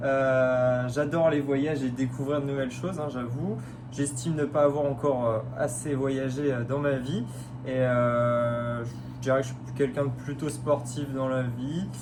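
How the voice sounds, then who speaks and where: Monotone, flat intonation from a man, with audible room echo and noticeable background noise. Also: medium pitch for a man, fairly slow pace. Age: 20s. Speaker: radiology technician, reality show applicant. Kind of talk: casting video self-presentation. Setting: self-filmed video. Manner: hesitant, many fillers.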